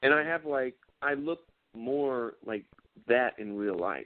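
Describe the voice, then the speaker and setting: With a Southern US accent, a man talks at a medium pitch with ordinary pitch variation. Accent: southern twang. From South Carolina, near Charlotte. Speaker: actor. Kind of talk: casual interview chat.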